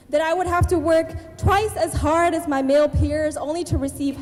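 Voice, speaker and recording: A woman's voice comes through with music in the background. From Abbotsford, British Columbia, Canada. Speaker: spoken word artist and writer. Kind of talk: spoken word poetry performance. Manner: rhythmic, empowering delivery.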